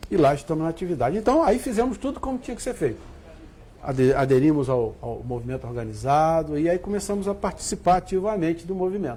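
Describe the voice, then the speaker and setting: Talking at a very fast pace, a man uses a fairly high pitch. His voice makes very wide pitch swings. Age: 60s. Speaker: spiritist center president. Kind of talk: TV interview.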